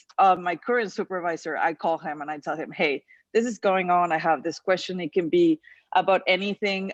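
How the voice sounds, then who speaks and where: Moderate pace, a non-native accent, ordinary pitch variation, and a dry, close sound with no echo against a quiet background. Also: woman, fairly low pitch for a woman. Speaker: panel speaker. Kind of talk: personal story on a panel.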